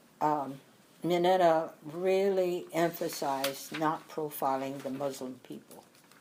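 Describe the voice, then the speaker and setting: Very deep and low in pitch, a woman speaks at a very slow pace with lively intonation. Her loudness swings widely, and room echo can be heard. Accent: American. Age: 90s. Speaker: internment camp survivor. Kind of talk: interview. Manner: halting.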